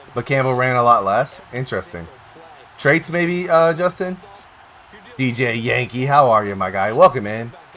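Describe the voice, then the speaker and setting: Animated man at medium pitch, moderate pace, lively intonation, long and frequent pauses, and noticeable background noise. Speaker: live streamer. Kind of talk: casual chat. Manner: loud.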